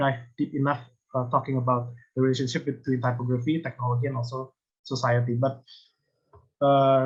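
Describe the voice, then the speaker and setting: With an Indonesian accent, a man speaks at a medium pitch, somewhat breathy and monotone, moving at a fairly quick pace yet leaving long, frequent pauses. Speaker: design lecturer. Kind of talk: conference presentation. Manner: halting, many hesitations.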